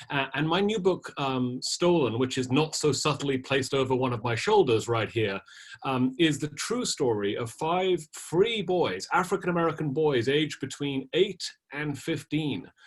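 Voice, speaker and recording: A man with a British accent speaks at a moderate pace and a fairly high pitch. His voice is somewhat breathy, with lively intonation. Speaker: historian and author. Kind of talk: panel discussion.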